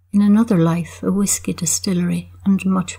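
At a moderate pace, a woman talks in an Irish accent. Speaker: poet. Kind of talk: poetry reading, measured and wry, with the dry humour of a village observer. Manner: deadpan; measured, reflective.

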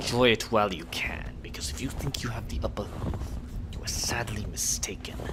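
A man whispers in a put-on character voice at a fairly quick pace, with a rumbling quality. Loud background noise sits behind him. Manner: menacing, through gritted teeth.

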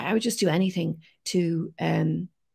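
A woman talks with an Irish accent. The recording is very clean, with a silent background. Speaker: science communicator. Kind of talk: interview.

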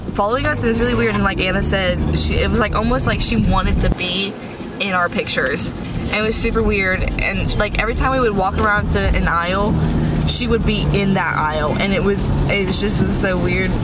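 Loud background noise fills the recording. Over it, a woman talks at a fairly quick pace. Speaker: vlogger. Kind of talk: casual vlog chat. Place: car.

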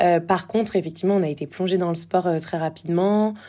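A woman speaks in a fairly low pitch with a dark, mellow tone. Her pitch varies in an ordinary way. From Normandy, France (Évreux). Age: 20s. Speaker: former athlete turned entrepreneur. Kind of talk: casual interview. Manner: hesitant, many fillers.

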